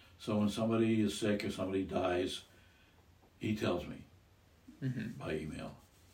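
A man with an American accent talks at a moderate pace and fairly low pitch, with ordinary pitch variation and long, frequent pauses. Audible room echo is present. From US Midwest, Iowa. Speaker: grandfather, retiree. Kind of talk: casual chat.

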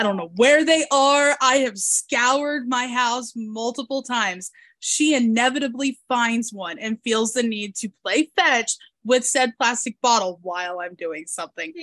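A woman with an American accent speaks fairly slowly in a high voice with lively intonation. The sound is dry and close, with no echo. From US Midwest and South. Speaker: podcast host. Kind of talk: casual interview chat. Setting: video call, international.

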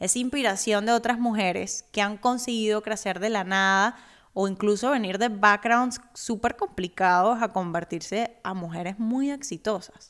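A woman's fairly high voice at a fairly slow pace, with ordinary pitch variation and hardly any pauses. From Cuba, Havana. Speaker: podcast host, personal finance educator. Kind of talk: personal monologue.

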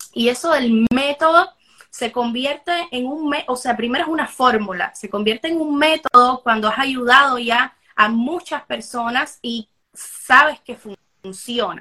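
A woman talks fairly slowly in a high, bright, sharp voice with ordinary pitch variation and big swings in loudness. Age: 20s. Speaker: life coach. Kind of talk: interview.

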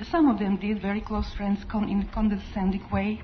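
There is noticeable background noise as a woman with a non-native accent talks at a fairly quick pace and a medium pitch. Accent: foreign. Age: 50s. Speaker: congregation member giving testimony. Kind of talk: testimony. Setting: church.

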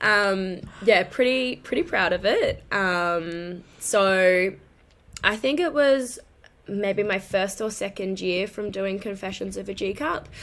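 A woman with an Australian accent speaks very slowly at a medium pitch with ordinary pitch variation. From Queensland, Australia. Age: 30s. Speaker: lingerie influencer and office worker. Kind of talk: casual interview chat.

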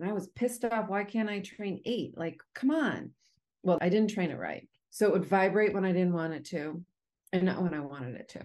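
A woman's plain, everyday voice at medium pitch, with lively intonation and a fairly quick pace. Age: 50s. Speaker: mental health advocate. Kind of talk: interview.

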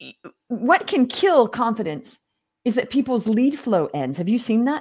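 A woman's animated voice shows vocal fry and very wide pitch swings. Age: 50s. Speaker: business coach. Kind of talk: interview.

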